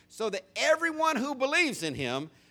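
A raised, projected voice, bright and sharp in tone, with very wide pitch swings at a fairly slow pace, on a very clean recording with a silent background. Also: man. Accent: American. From US South. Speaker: pastor. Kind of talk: sermon. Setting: church.

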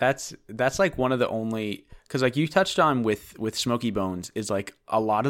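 Captured in a very clean recording with a silent background, an unremarkable speaking voice with an American accent moves at a moderate pace with lively intonation. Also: man. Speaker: guest host. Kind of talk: casual chat.

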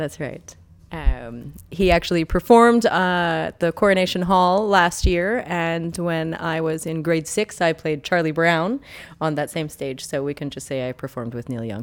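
In a Canadian accent, a woman with a fairly low pitch and a plain, everyday voice talks at a moderate pace, her intonation lively and her loudness swinging widely. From Ontario, Canada. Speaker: artist. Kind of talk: casual interview. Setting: studio.

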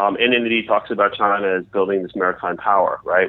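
This man has a normal speaking voice with an American accent, a fairly low pitch, fairly even intonation and a fairly quick pace. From United States. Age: 40s. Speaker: newsletter writer and China analyst. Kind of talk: interview. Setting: remote call.

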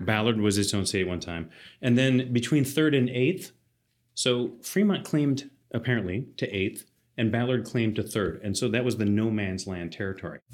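With a plain, everyday voice, a man speaks at a moderate pace and medium pitch, his intonation lively. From US South, Athens, Georgia. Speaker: landscape architect. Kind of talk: casual chat.

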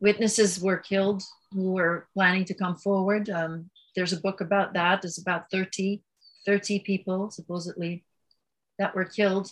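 A woman speaks at medium pitch and a moderate pace, her voice somewhat breathy. Her intonation stays monotone and flat. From Belgium. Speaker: author and yoga advocate. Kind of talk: interview about personal trauma and spirituality.

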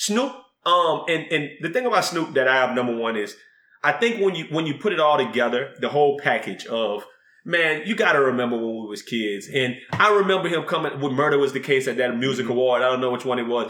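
A man with a Southern US accent, fairly high-pitched, at a very fast pace. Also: lively intonation. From US South. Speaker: podcast co-host and rapper. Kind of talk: casual chat.

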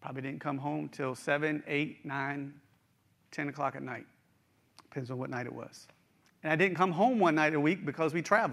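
A man with an American accent talks at a fairly quick pace, with long, frequent pauses and big swings in loudness. His pitch is fairly high, with ordinary variation. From eastern Panhandle, West Virginia. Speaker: executive pastor preaching. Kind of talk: sermon. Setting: church with live stream.

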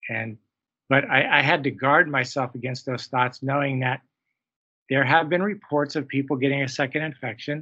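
With a plain, everyday voice, a man speaks at a moderate pace in a fairly high pitch with fairly even intonation. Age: 60s. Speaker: physician, hospital medical officer. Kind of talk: interview.

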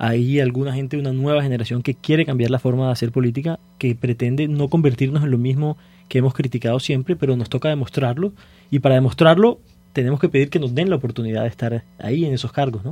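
A somewhat breathy man at a very fast pace, dark and mellow in tone, with fairly even intonation. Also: medium pitch for a man. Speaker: city council candidate. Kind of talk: radio panel discussion.

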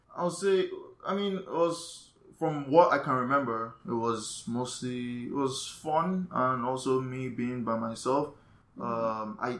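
A man speaks at medium pitch. His pitch variation is ordinary, and noticeable background noise is present. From Nigeria, Lagos. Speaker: photographer and DJ. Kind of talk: casual interview.

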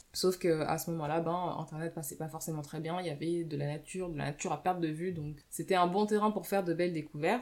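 This woman talks at a very fast pace. Her pitch is fairly low. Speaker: book podcaster. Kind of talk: casual monologue book review. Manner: unscripted, hesitant.

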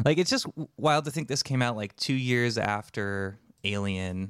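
A man's plain, everyday voice at a moderate pace with ordinary pitch variation, in a dry, close sound with no echo and a very clean recording, silent background. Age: 30s. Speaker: podcast host. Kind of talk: casual chat.

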